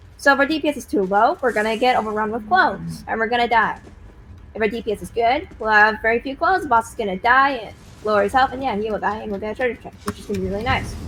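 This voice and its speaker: Speaking at a very fast pace, a woman uses a fairly high pitch with ordinary pitch variation and vocal fry. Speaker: game raid leader. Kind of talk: game strategy briefing.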